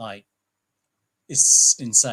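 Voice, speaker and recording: A man's bright, sharp voice with a British accent, at a very slow pace. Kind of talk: casual chat.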